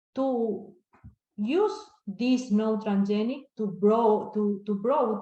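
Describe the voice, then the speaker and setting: Speaking with an Argentine accent, a woman talks at a very slow pace. Her pitch is medium and her intonation fairly even. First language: Spanish. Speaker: crop scientist. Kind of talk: Q&A answer. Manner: halting.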